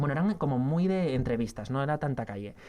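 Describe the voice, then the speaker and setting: A man with a medium-pitched voice and lively intonation is heard on a very clean recording with a silent background. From Spain, Asturias. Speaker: TV news journalist. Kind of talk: interview. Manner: fast; talkative, many fillers.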